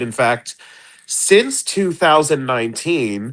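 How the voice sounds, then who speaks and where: A man with a normal speaking voice, medium pitch and lively intonation against a quiet background. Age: 40s. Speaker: comics writer. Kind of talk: casual chat.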